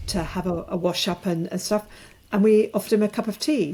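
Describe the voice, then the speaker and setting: In a British accent, a woman speaks at a moderate pace and medium pitch, her dark, mellow tone held to fairly even intonation. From rural England. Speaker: author and alcohol-free coach. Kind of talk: podcast interview. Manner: halting.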